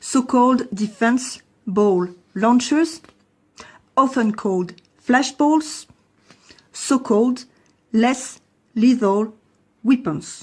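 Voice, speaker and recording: Speaking very slowly with long, frequent pauses, a woman with a French accent uses a high pitch and ordinary pitch variation. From France. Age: 40s. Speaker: lawyer and protester. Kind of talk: testimony.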